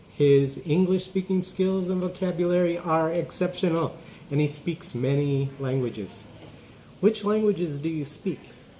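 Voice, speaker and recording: A man with a high pitch and ordinary pitch variation speaks at a moderate pace over noticeable background noise. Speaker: English teacher. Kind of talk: casual interview host talk.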